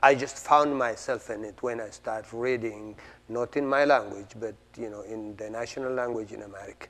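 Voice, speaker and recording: A man with an Ethiopian accent speaks at a fairly quick pace and medium pitch, with fairly even intonation. His loudness swings widely. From Ethiopia, Oromo region. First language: Oromo. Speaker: playwright. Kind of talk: interview. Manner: halting, with fillers and repetitions.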